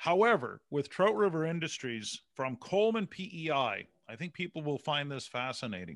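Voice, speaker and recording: With a Canadian accent, a man speaks at a moderate pace and fairly high pitch, with very wide pitch swings, big swings in loudness and hardly any pauses, on a very clean recording with a silent background. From Canada. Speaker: speaker and author, former broadcaster. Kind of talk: interview. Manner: animated.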